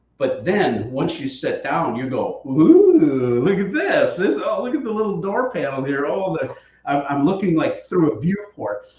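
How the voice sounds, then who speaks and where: A man talks at a fairly slow pace with hardly any pauses, in an animated tone. Audible room echo surrounds the voice. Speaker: board game accessory maker hosting a live stream. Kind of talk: live Q&A product stream. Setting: live stream.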